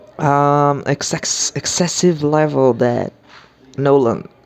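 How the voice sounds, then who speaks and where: Very slow speech over noticeable background noise. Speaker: movie reviewer. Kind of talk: casual monologue review. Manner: halting, frequent repetitions and fillers.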